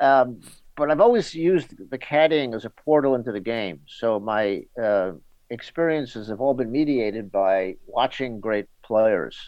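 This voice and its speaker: A man speaks with a New York accent. His intonation is lively. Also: medium pitch for a man. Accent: New York American. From New York City. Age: 60s. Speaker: golf journalist. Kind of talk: interview.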